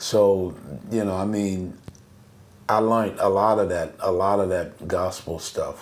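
Audible room echo surrounds a man with a fairly low pitch. He speaks at a fairly slow pace with monotone, flat intonation. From US South, New Orleans. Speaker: bass player. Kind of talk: casual interview chat.

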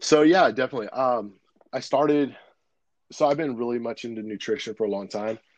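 A man talks at a fairly quick pace with an ordinary speaking voice. His pitch is medium, with ordinary variation. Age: 30s. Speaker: ministry founder and nutrition coach. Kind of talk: casual chat.

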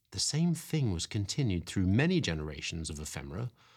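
Somewhat breathy and warm in tone, a man speaks with very wide pitch swings in a very clean recording with a silent background. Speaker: podcast host reading stories aloud. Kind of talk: dramatic storybook narration, reading aloud. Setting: quiet spot away from the cold, home-recorded. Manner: slow, hushed and wistful, with expressive storytelling pacing; warm and cosy.

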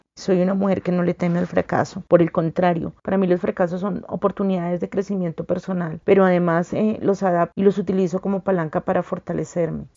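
A woman's fairly low, monotone voice with flat intonation, very fast and with hardly any pauses. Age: 40s. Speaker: lawyer and women's rights advocate. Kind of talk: testimony.

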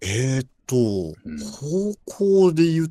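A man talks with a dark, mellow tone. His pitch swings very widely. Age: 20s. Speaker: programmer. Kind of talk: casual chat.

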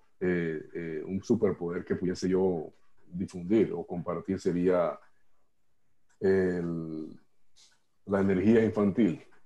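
A man's very deep, low voice, dark and mellow in tone, with fairly even intonation, a very slow pace and long, frequent pauses. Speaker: workshop participant. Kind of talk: personal sharing in workshop. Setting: video call.

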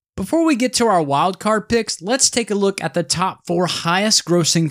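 In a very clean recording with a silent background, the talking moves at a moderate pace. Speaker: podcast host. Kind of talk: scripted podcast banter.

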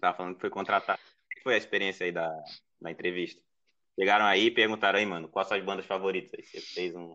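A man speaks with a very deep, low pitch at a very fast pace. His intonation is flat and monotone, while his loudness swings widely. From Ceará, Brazil (Northeast). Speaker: podcast editor and illustrator. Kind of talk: casual chat.

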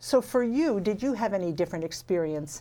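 Moving at a moderate pace, a woman speaks in a dark, mellow tone with lively intonation on a very clean recording with a silent background. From Canada, small town. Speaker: podcast host. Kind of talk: interview.

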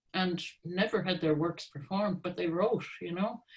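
A woman's somewhat breathy, fairly low voice with an American accent, ordinary pitch variation and a fairly slow pace. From US Northeast, Hartford, Connecticut. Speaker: composer. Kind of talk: interview.

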